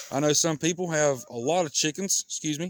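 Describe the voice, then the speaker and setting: A man speaks in a relaxed tone with a Southern US accent. His pitch sits fairly high. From US South. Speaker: backyard chicken vlogger. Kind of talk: casual vlog talk. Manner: relaxed, conversational.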